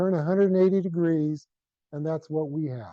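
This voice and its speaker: A man speaks in a Texan accent, his tone dark and mellow with ordinary pitch variation. The sound is dry and close with no echo. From South Central Texas. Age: 60s. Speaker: retired rancher and conservationist. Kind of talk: presentation. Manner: animated.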